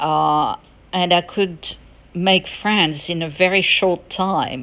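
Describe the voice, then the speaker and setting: A woman speaks at a very slow pace. Her medium pitch follows fairly even intonation. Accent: French. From France. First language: French. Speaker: podcaster. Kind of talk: solo podcast monologue. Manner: halting, many fillers.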